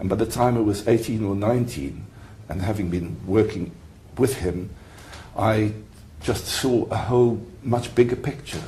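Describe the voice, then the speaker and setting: A fairly low-pitched man speaks at a moderate pace with vocal fry and a dark, mellow tone, his pitch varying in an ordinary way. Long, frequent pauses break up his speech, and audible room echo surrounds it. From South Africa. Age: 70s. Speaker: retired mediator and lawyer. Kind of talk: interview. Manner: halting.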